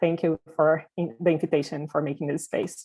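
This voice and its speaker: A woman with a Portuguese accent and a fairly low pitch talks at a moderate pace. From Brazil. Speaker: diversity and inclusion consultant, company founder. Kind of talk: panel presentation. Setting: virtual panel.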